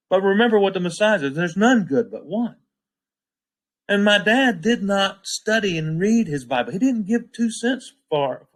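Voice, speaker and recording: A man speaks with a high voice. His pace is moderate and his intonation lively. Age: 60s. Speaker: bible study teacher. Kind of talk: scripture study talk. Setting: livestream. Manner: emphatic, preachy.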